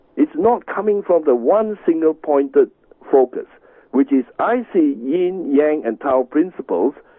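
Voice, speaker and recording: The pace here is fairly slow. It's a normal speaking voice. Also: man, fairly high pitch for a man. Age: 60s. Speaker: tai chi master. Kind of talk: radio interview. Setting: radio show.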